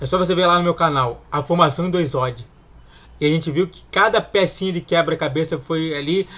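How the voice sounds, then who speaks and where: A man's high voice moves along fairly quickly, its pitch rising and falling in a normal way. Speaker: football fan YouTuber. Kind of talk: casual reaction commentary.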